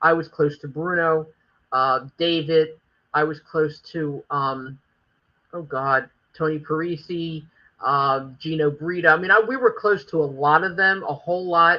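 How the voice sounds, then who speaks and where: This woman speaks with a Philadelphia accent at a fairly slow pace. Her very deep, low pitch shows ordinary variation. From Philadelphia, North Philly. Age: 60s. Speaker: former wrestling promoter. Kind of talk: interview.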